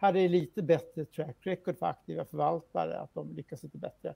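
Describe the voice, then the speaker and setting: A man talks at a moderate pace against a quiet background, the sound dry with no echo. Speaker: financial journalist. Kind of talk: news interview. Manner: halting. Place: home room. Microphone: video call.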